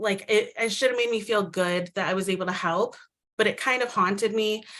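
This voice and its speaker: A woman with a Midwestern American accent speaks at a fairly high pitch and a fairly quick pace, her intonation fairly even. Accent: very Midwestern American. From US Midwest, Micronesian community. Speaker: storyteller sharing immigrant experience. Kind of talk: personal testimony. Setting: virtual event.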